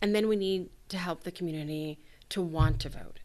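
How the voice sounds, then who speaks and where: Against a quiet background, a woman with a plain, everyday voice speaks at a moderate pace, with a fairly low pitch and ordinary pitch variation. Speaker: academic researcher. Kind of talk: expert interview.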